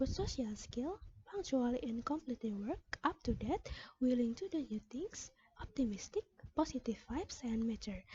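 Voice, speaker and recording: A woman speaks at a moderate pace in an Indonesian accent. Her high voice makes very wide pitch swings. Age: 20s. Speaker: pharmacy student. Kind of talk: self-introduction application video.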